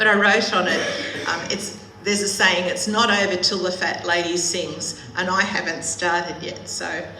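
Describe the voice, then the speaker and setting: An Australian accent with fairly even intonation at a moderate pace, set in audible room echo with noticeable background noise. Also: woman. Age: 70s. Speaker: charity volunteer. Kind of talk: church presentation.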